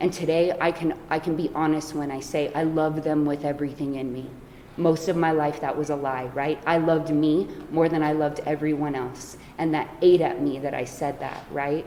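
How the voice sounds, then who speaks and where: A woman speaks at a moderate pace with a very deep, low pitch and a monotone, flat intonation. Noticeable background noise runs under her voice. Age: 40s. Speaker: recovery speaker. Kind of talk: speaker introduction.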